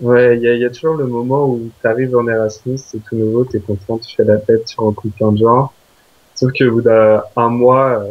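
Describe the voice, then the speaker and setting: A man talks at a moderate pace in a monotone, flat intonation. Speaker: exchange student. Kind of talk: interview. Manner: hesitant, many fillers.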